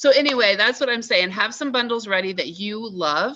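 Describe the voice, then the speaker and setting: A woman's bright, sharp voice comes across in an animated tone with lively intonation over a quiet background. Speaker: wellness product seller. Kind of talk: team training call. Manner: fast.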